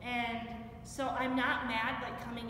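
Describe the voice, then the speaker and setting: A woman speaks at a fairly slow pace in a monotone, flat intonation. Light background noise and audible room echo sit behind her. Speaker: interviewee. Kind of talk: interview answer. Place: gym. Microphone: camera far.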